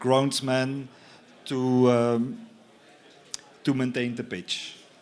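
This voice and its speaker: There is audible room echo around a man at medium pitch. He speaks at a very slow pace. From Belgium. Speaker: company representative presenting a product. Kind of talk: conference talk. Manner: halting, many fillers.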